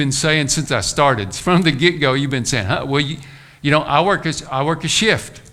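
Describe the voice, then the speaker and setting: Audible room echo surrounds a man whose bright, sharp voice shows ordinary pitch variation. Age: 60s. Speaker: pastor. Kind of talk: sermon.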